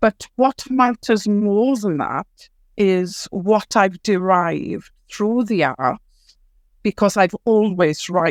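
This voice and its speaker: A woman with a Welsh accent speaks at a very slow pace with ordinary pitch variation. The very clean recording has a silent background and a dry, close sound with no echo. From Wales, Ceredigion. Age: 60s. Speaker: writer and storyteller. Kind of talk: podcast interview.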